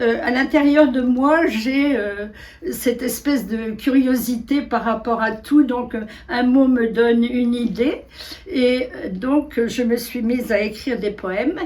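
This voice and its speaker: Very slow speech with ordinary pitch variation, audible room echo and noticeable background noise. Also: woman, high pitch for a woman. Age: 80s+. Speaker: retired kindergarten director and writer. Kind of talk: casual interview talk.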